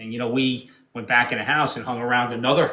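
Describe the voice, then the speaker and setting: A man in a downstate New York accent talks fairly quickly at a medium pitch, his intonation monotone and flat, with audible room echo. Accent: downstate New York, harsh. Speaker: podcast guest. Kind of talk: casual chat.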